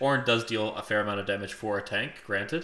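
A man's bright, sharp tone with audible room echo. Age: 20s. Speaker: podcast co-host. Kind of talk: casual chat.

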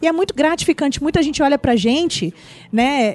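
A woman talks at a fairly quick pace with ordinary pitch variation, her sound dry and close with no echo. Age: 40s. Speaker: social entrepreneur. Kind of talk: casual chat. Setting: studio.

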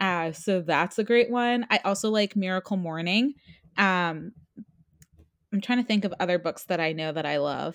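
A woman with an unremarkable speaking voice talks at a medium pitch and a moderate pace with ordinary pitch variation, in a very clean recording with a silent background. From New Jersey. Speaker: marketing coach and author. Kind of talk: interview.

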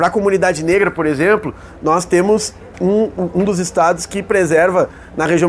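Background noise is clearly audible. Over it, a man talks with a high voice. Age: young. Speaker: state legislator. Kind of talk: interview. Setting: agrarian reform fair.

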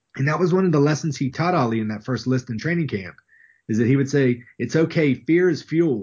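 A man's somewhat breathy voice with an Appalachian accent. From West Virginia. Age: 30s. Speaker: professor. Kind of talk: interview. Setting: video call.

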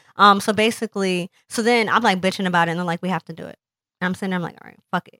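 On a very clean recording with a silent background and a dry, close sound with no echo, a woman talks at a very fast pace in medium pitch with fairly even intonation and big swings in loudness. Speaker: cancer survivor and podcast creator. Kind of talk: casual interview chat. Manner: candid, humorous, profane.

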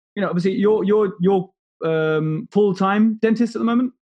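Ordinary pitch variation marks a man's fairly quick speech. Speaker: podcast host. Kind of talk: casual interview chat.

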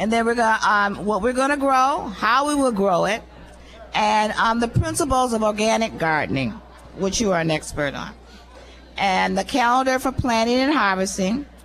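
At a moderate pace, a woman with a plain, everyday voice speaks in a fairly high pitch with lively intonation. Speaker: community center director. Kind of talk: speech at a public event. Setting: live event with audience.

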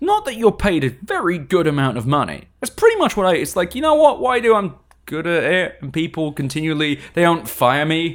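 With an English accent and lively intonation, a man speaks in a high pitch for a man with hardly any pauses. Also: fairly quick pace. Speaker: tech PR person, podcast guest. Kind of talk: casual chat. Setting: studio.

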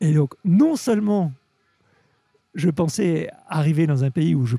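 Over music in the background, a man speaks at a fairly high pitch with lively intonation, the sound dry and close with no echo. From Normandy, France. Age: 50s. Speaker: sake expert. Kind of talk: interview. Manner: halting, repeats words.

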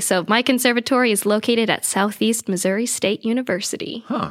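A woman with an American accent speaks in an unremarkable speaking voice at a fairly high pitch. She keeps a fairly quick pace with hardly any pauses. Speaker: theater performer and coach. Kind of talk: casual interview chat.

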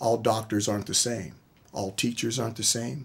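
A man speaks with an American accent at a medium pitch. His voice is somewhat breathy and his pace moderate. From US, military bases around the country. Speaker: college football head coach. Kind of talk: radio interview. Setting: studio.

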